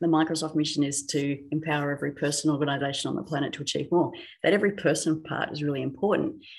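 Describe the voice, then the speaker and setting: A woman with an Australian accent talks very fast, her very deep, low pitch held in fairly even intonation. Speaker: technology specialist. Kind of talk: podcast interview.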